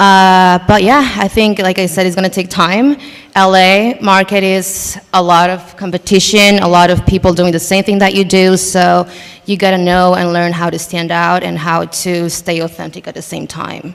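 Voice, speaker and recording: At a moderate pace, a woman with a Spanish accent speaks in a medium pitch with fairly even intonation amid noticeable background noise. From Mexico City. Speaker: content creator and performer. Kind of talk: panel discussion.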